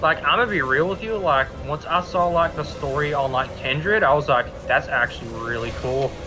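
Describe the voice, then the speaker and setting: Fairly quick delivery with lively intonation and hardly any pauses, music in the background. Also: man, fairly high pitch for a man. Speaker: streamer. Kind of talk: casual chat. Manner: fast.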